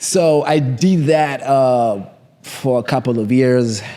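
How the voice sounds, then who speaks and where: A man speaks in a dark, mellow tone with a strong Kenyan accent. His pitch variation is ordinary. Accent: Kenyan, thick (self-described). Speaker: trader. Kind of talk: interview. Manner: halting, many fillers.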